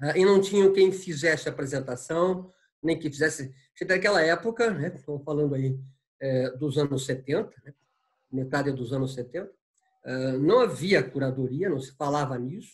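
A man with a fairly high, somewhat breathy voice speaks at a moderate pace, with ordinary pitch variation and long, frequent pauses. His loudness swings widely against a quiet background. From Paraná, Brazil. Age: 70s. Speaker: art curator and professor. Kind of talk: interview. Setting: video call from home. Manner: halting, many fillers. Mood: calm, friendly, reflective. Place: home room. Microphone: video call.

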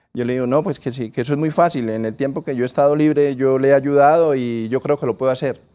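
With a dark, mellow tone and fairly even intonation, a man speaks at a fairly high pitch. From Colombia, Norte de Santander. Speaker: business owner; interviewee. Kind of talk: interview. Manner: halting. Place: studio. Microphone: lapel.

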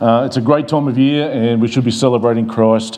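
Fairly even intonation over a very fast pace. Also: man. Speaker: pastor. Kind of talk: sermon. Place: church. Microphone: lapel.

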